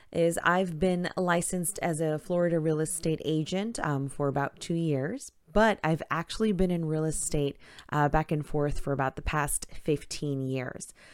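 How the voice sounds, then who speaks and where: In a very clean recording with a silent background, a woman with an American accent speaks at a moderate pace with hardly any pauses, her pitch very deep and low and her pitch variation ordinary. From Queens, New York. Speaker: realtor. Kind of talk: solo vlog monologue.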